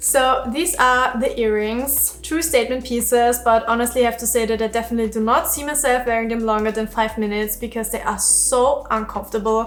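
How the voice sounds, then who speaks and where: Over music in the background, a woman with a non-native accent speaks at a fairly quick pace with hardly any pauses, her pitch fairly high and her intonation fairly even. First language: not English. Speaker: fashion YouTuber. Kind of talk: try-on haul review. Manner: casual, conversational.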